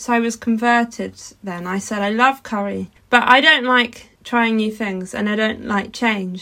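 Here a woman has a fairly high pitch and an unremarkable speaking voice. She keeps a moderate pace with ordinary pitch variation. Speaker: podcast co-host, wood engraver. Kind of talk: casual chat.

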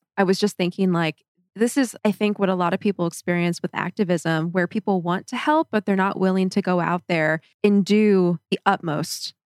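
Recorded with a dry, close sound and no echo, a woman speaks in a normal speaking voice at a moderate pace, with medium pitch and ordinary pitch variation. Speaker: podcast co-host. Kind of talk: casual chat.

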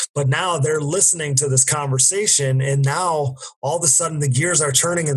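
This man, with an American accent, has a plain, everyday voice and a fairly high pitch. He keeps a moderate pace with ordinary pitch variation. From US Midwest, Wisconsin. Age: 20s. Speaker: ATV racer and podcaster. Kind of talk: casual chat.

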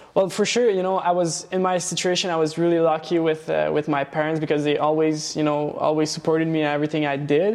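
A man talks at a very fast pace, his loudness very even and his intonation fairly even. Noticeable background noise sits behind him. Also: fairly high pitch for a man. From Quebec, Laval (born in Romania, Hungarian family). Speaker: pastry shop owner. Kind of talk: interview. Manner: halting, many repetitions.

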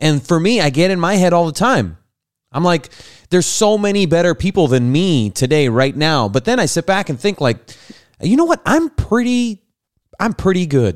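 A man speaks with an animated tone at a moderate pace, his high voice making very wide pitch swings while his loudness stays very even. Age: 30s. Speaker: podcast host. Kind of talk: casual chat. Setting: video call.

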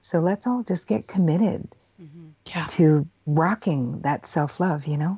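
Somewhat breathy, a woman speaks at a fairly low pitch and a fairly slow pace, with ordinary pitch variation. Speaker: psychotherapist. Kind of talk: interview.

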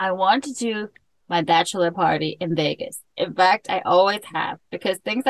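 Plain reading aloud is what you hear. Behind it, the background stays quiet.

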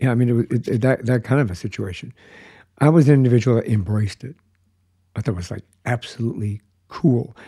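A man with an American accent speaks very fast, yet with long, frequent pauses, in a dark, mellow, somewhat breathy tone at a medium pitch with ordinary variation. The recording is very clean and dry, close with no echo, over a silent background. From Colorado. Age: 60s. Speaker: podcast host. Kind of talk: casual chat.

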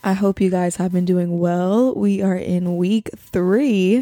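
Her dark, mellow tone comes through as the woman speaks at a fairly slow pace. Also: dry, close sound with no echo. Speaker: podcast host. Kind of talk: casual chat. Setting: home podcast studio. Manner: low energy, low-key.

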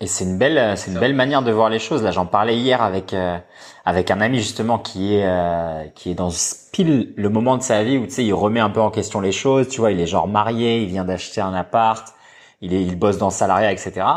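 Quick-ish and fairly low in pitch, this man has a plain, everyday voice with ordinary pitch variation, recorded against a quiet background. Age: 20s. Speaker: podcast host and movement coach. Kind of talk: casual chat.

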